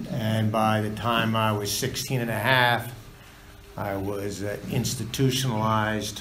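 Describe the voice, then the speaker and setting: Here a man with an American accent talks at a fairly slow pace, his fairly low pitch held in a monotone, flat line. There is audible room echo along with noticeable background noise. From United States. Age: 60s. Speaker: recovery meeting speaker. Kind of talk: testimony. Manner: halting.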